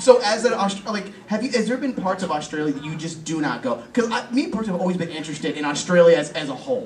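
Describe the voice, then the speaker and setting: A man speaks in a high voice at a very fast pace, with lively intonation and hardly any pauses, over noticeable background noise. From England. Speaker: podcast host. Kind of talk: casual chat. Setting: live recording at a comic convention.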